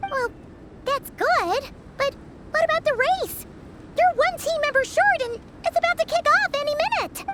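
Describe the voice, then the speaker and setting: A squeaky put-on character voice sits at an extremely high pitch. It moves at a moderate pace with long, frequent pauses. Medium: video game. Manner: excitable, chatty.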